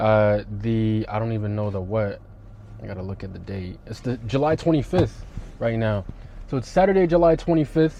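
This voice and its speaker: Noticeable background noise behind a man speaking at a moderate pace in a medium pitch. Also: lively intonation. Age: 20s. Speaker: trading vlogger. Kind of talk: casual vlog talk to camera. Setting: in a car. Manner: casual, filler-heavy.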